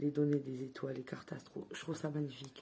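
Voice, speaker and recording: There is noticeable background noise. Through it, a woman speaks at a very deep, low pitch. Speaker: tarot card reviewer. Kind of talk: product review. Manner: hesitant, filler words.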